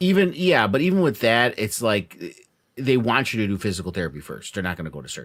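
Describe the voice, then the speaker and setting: A man rattles along at a very fast pace in a fairly low voice with vocal fry. His pitch swings very widely and his loudness shifts a lot. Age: 50s. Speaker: podcast co-host. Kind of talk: casual chat.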